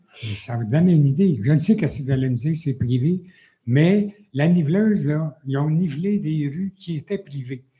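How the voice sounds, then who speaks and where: Somewhat breathy and dark, mellow in tone, a man speaks at a moderate pace in a fairly high pitch with lively intonation. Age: 70s. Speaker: citizen at council question period. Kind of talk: public question at council meeting. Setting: municipal council meeting. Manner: halting.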